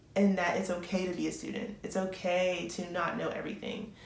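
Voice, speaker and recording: The voice belongs to a woman. Noticeable background noise and audible room echo are present in the recording. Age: 20s. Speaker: nursing student. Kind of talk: advice vlog.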